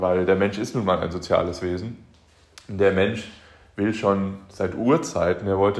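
He has a plain, everyday voice and a fairly low pitch. The man keeps a moderate pace. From Germany, Aachen. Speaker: podcast host, motivational speaker. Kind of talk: motivational monologue.

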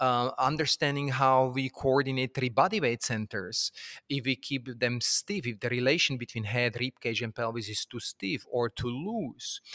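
A man speaks at a moderate pace with a non-native accent, medium in pitch, with hardly any pauses and ordinary pitch variation. His tone is bright and sharp, and the sound is dry and close with no echo on a very clean recording with a silent background. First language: not English. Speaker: movement teacher. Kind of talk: casual chat. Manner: halting.

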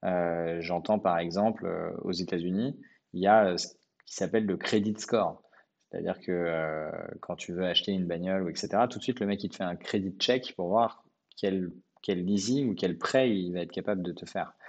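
In a quiet background, a man talks with a very deep, low pitch and fairly even intonation. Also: moderate pace. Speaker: entrepreneur. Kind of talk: podcast interview.

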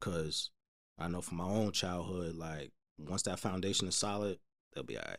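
In a New Jersey accent, a man talks at a moderate pace with a very deep, low pitch and fairly even intonation. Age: 30s. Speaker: podcast guest. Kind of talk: casual chat.

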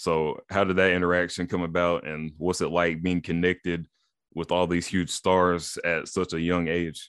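Moderate pace from a man with a very deep, low pitch and monotone, flat intonation, over a quiet background. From East Tennessee. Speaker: podcast host. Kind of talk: casual interview chat.

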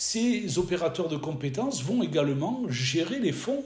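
Lively intonation comes through at a fairly slow pace. The room echo is audible, with noticeable background noise. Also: man. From French Riviera, southern France. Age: 60s. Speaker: business trainer and consultant. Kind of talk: interview.

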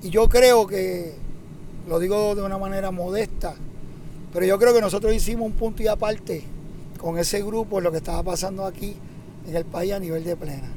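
Long, frequent pauses break up a man's speech at a moderate pace, his pitch high and his intonation fairly even. Noticeable background noise runs under the recording. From Puerto Rico, Santurce. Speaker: plena percussionist. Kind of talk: interview.

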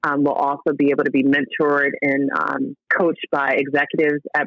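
A woman with an American accent talks fairly quickly in a very deep, low pitch. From Newark, New Jersey. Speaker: entrepreneur and TV host. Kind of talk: interview conversation.

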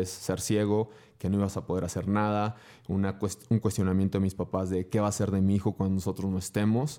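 On a very clean recording with a silent background, a man with a fairly low pitch and a dark, mellow tone speaks at a fairly quick pace in a monotone, flat intonation. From northern Mexico (Durango). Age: 30s. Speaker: motivational speaker. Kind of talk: interview conversation.

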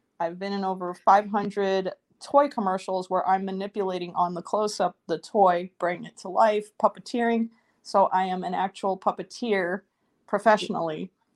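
A woman's unremarkable speaking voice with an American accent, medium in pitch at a moderate pace, with big swings in loudness, a dry, close sound with no echo, and a quiet background. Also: fairly even intonation. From New York City. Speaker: actress and puppeteer. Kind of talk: casual chat.

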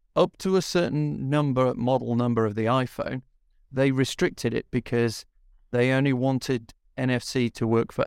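The recording is very clean, with a silent background, and a man speaks in an ordinary speaking voice at a medium pitch. His pace is moderate and his pitch variation ordinary. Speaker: podcast co-host. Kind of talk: casual chat, podcast discussion.

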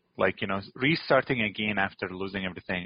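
A man is speaking. He has an Arabic accent. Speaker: chocolate company CEO, former refugee. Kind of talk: interview, personal story.

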